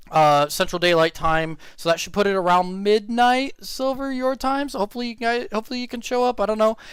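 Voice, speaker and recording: A man talks at a moderate pace with lively intonation on a very clean recording with a silent background. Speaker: streamer and commentator. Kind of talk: live stream commentary. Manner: loud; halting.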